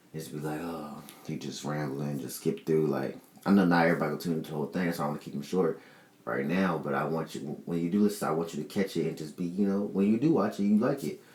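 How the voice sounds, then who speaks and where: A man speaks very fast in a very deep, low voice, his pitch rising and falling in an ordinary way over noticeable background noise. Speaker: podcast host. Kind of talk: solo podcast monologue. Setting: in front of a camera.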